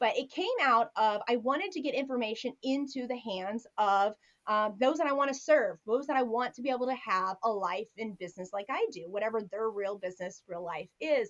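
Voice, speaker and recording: Speaking at a fairly quick pace with hardly any pauses, a woman has a fairly high pitch. Her intonation is lively. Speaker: business coach and attorney. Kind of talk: interview. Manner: fast.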